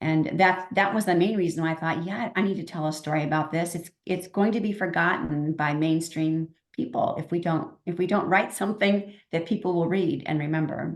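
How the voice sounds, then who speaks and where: In an unremarkable speaking voice, a woman keeps a fairly low pitch and fairly even intonation at a moderate pace. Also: hardly any pauses. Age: 60s. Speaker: novelist. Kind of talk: interview.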